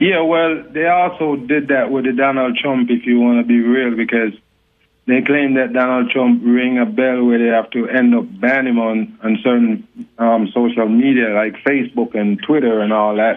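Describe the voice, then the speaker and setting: Speaking with a Jamaican accent, a man holds a medium pitch and very even loudness at a moderate pace. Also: ordinary pitch variation. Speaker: talk show guest, online commentator. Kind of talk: casual interview. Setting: phone call. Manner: cool, laid-back delivery.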